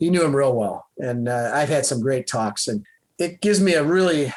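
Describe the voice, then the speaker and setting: Using an ordinary speaking voice with an American accent, a man with a fairly high pitch talks at a fairly quick pace with lively intonation. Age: 60s. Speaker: retired fighter pilot, airline pilot. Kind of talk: casual interview chat.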